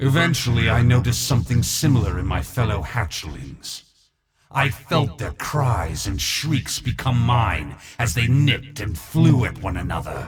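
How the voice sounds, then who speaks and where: A man performs a put-on character voice. His pitch is medium and his pace moderate. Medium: video game. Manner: menacing, contemptuous.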